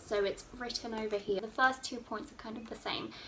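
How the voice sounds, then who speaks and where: Speaking with an English accent, a woman uses a fairly high pitch. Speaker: student vlogger. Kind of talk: casual advice vlog.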